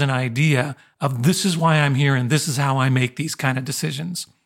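A somewhat breathy man at a moderate pace. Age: 50s. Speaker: college professor and podcast co-host. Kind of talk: casual conversation.

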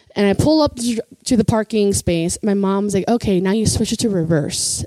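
A woman with an American accent has a plain, everyday voice. Her pitch is fairly high with ordinary variation, and her pace is moderate. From US Midwest, Chicago. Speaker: comedian. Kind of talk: casual chat.

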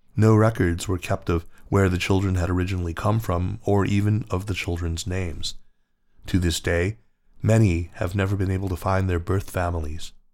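Recorded very cleanly against a silent background, a man with a very deep, low pitch talks at a moderate pace with fairly even intonation. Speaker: narrator reading an article aloud. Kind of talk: history documentary narration, solemn and measured, reading a written article. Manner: grave, even-paced and formal, with a sombre storytelling tone.

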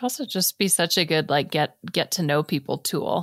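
An ordinary speaking voice, a woman's in a fairly low pitch, moves at a fairly quick pace in a very clean recording with a silent background and a dry, close sound with no echo. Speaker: podcast co-host. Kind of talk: casual interview chat.

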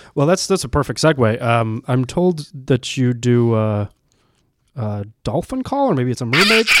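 At a moderate pace, a man speaks in an ordinary speaking voice with a medium pitch. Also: ordinary pitch variation. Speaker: podcast host. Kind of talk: casual interview chat.

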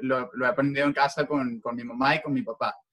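A man with a Venezuelan accent talks in a fairly high pitch. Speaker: sports journalist. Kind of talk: interview.

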